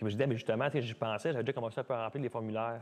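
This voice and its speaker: Talking very fast with fairly even intonation, a man with a Quebec accent speaks over a quiet background. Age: 30s. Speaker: dancer and dance studio owner. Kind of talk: casual interview. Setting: podcast studio. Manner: fast, talkative.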